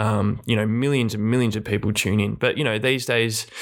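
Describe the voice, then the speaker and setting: A man with an Australian accent at a medium pitch, monotone and flat in intonation, at a moderate pace, on a very clean recording with a silent background. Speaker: retired footballer. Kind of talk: casual chat. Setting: studio.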